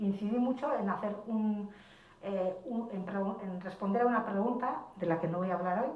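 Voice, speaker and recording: Noticeable background noise and audible room echo surround a woman's voice. Her pitch variation is ordinary. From Basque Country. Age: 60s. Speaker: writer. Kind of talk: panel discussion.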